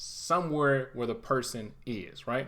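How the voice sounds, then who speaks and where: A man talks at a moderate pace. His pitch is fairly high, with ordinary variation. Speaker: IT certification instructor. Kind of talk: tutorial. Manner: casual, conversational; occasional stumbles.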